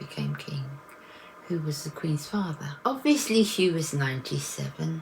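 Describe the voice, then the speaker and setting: The speaker is a woman. Her accent is English. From England. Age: 60s. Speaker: vlogger. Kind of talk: personal vlog reflection. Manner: halting.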